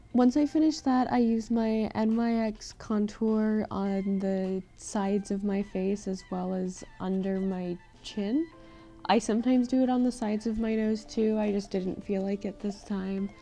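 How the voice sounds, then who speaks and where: Music plays in the background as a woman speaks at a fairly slow pace. Her pitch is fairly high, with ordinary variation. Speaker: makeup tutorial creator. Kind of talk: tutorial voice-over.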